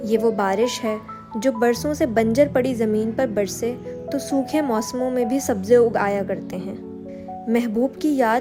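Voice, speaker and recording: With music in the background, a woman speaks at a fairly high pitch with ordinary pitch variation. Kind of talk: poetic prose reading.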